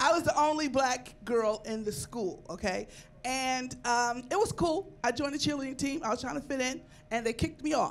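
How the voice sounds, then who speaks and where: A woman speaks at a high pitch and a moderate pace, with ordinary pitch variation. Light background noise can be heard. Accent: American. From New York. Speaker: comedian. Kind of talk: stand-up. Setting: stage with audience. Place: studio. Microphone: handheld.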